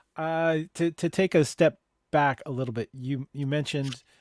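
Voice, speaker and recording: This is a man with an unremarkable speaking voice, fairly even intonation and a fairly slow pace. The sound is dry and close with no echo, in a very clean recording with a silent background. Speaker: talk show host. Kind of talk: podcast interview host.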